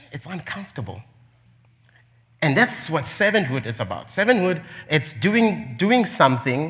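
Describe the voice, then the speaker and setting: A man with a non-native accent and very wide pitch swings. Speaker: preacher. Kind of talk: sermon.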